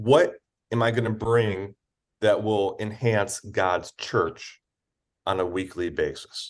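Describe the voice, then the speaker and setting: An ordinary speaking voice with ordinary pitch variation comes through against a quiet background. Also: man. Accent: American. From Michigan, Detroit area until 12, then Missouri. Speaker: charity executive and former campus pastor. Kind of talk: casual interview.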